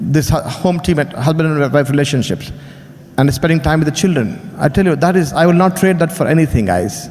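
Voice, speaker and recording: A man with an Indian accent speaks at a fairly quick pace and a fairly high pitch. His loudness stays very even over noticeable background noise. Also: ordinary pitch variation. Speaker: business speaker. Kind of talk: motivational speech.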